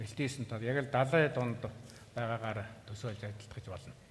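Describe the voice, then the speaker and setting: A man speaks at a moderate pace with a medium pitch. His voice is somewhat breathy, with fairly even intonation. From Mongolia, eastern steppe. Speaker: poet. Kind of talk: interview answers. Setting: stage with audience.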